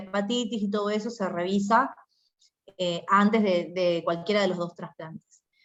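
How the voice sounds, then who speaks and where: A woman speaks in an Argentine accent with a medium pitch. Her intonation is fairly even. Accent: Argentine Spanish (Rioplatense). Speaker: doctor, hematology medical advisor. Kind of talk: medical Q&A talk.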